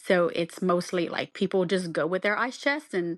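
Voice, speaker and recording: Against a quiet background, a woman with a Southern Louisiana accent speaks fairly slowly at a fairly low pitch with ordinary pitch variation. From South Louisiana. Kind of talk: podcast guest conversation.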